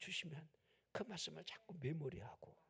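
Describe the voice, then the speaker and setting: A man is whispering. His pace is moderate. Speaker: pastor. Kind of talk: sermon.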